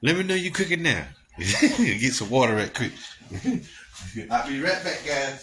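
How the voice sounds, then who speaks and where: With an American accent, a man speaks at a fairly slow pace in a fairly high pitch, with long, frequent pauses and noticeable background noise. His tone is animated, and his pitch swings very widely. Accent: Gullah Geechee dialect. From US South, Gullah Geechee community. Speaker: live-stream host and bishop. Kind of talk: casual live-stream chat. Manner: animated, repetitive.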